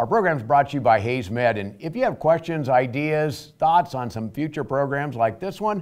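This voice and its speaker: A plain, everyday voice with lively intonation speaks at a fairly quick pace on a very clean recording with a silent background. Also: man. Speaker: TV show host. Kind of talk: TV interview host.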